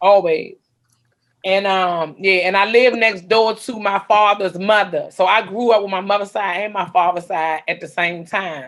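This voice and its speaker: At a moderate pace, a woman talks in an ordinary speaking voice at a medium pitch, with fairly even intonation. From Washington D.C. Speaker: comedian. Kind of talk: casual chat.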